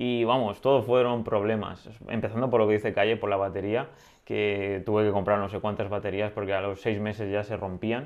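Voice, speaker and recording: Here is a man with a normal speaking voice at a fairly low pitch. He talks at a fairly quick pace with fairly even intonation. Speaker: drone podcast co-host. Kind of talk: casual chat.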